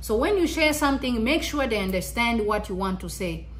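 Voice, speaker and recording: A woman speaks at a moderate pace amid noticeable background noise. Audible room echo surrounds her voice. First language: Kinyarwanda. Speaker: YouTuber. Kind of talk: motivational vlog talk. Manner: halting, repeats words.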